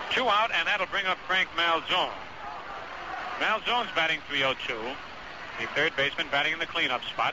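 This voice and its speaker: Speaking at a moderate pace, a man with a high pitch comes through a dry sound with no echo and noticeable background noise. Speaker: baseball play-by-play radio announcer. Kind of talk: live sports radio play-by-play commentary. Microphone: old recording.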